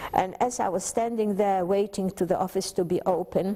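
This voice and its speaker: A woman talks at a medium pitch in a Polish accent. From Poland. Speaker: Holocaust survivor. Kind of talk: testimony. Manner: halting.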